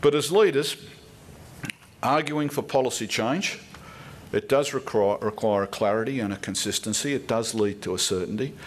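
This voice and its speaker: A man with an Australian accent speaks at a medium pitch, leaving long, frequent pauses. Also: lively intonation, moderate pace. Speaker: political commentator. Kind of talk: speech. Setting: stage with audience. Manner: formal.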